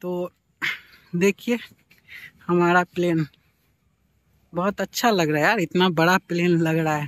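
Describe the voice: Recorded dry and close with no echo, a man with a high, fairly bright voice speaks at a fairly slow pace with fairly even intonation and long, frequent pauses.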